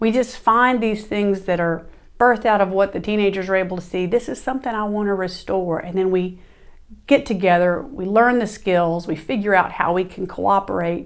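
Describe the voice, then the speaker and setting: A woman with a Southern US accent speaks at a medium pitch with ordinary pitch variation. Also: moderate pace. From US South. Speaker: podcast host. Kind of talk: monologue. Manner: animated.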